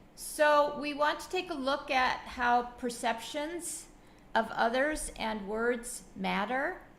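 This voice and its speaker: A woman speaks very slowly at a high pitch, her tone bright and sharp, with ordinary pitch variation and big swings in loudness. Audible room echo surrounds her. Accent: American. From US, Buffalo, New York. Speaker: educator coach. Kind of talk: webinar presentation. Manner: halting, many fillers.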